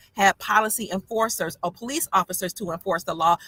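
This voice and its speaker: A woman's medium-pitched voice with a bright, sharp tone and a dry, close sound with no echo. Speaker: online commentator. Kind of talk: casual livestream talk answering questions. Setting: in a parked car. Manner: fast.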